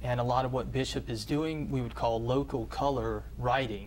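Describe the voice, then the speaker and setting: Audible room echo surrounds a man with an American accent. He speaks at a moderate pace. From US South. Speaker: professor. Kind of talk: interview. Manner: halting, many fillers.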